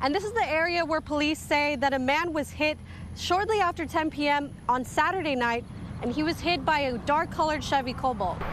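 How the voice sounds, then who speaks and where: A woman speaks at a fairly quick pace in a high voice. Noticeable background noise runs behind her. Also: ordinary pitch variation. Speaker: TV news reporter. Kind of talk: TV news reporting, liveshots and packages. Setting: outdoor liveshot and voiceover. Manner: clear, professional, broadcast delivery.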